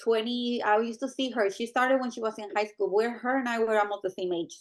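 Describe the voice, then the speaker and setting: A woman talks with a Spanish accent. Her pace is very fast. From Mexico. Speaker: medical coding supervisor. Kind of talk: interview.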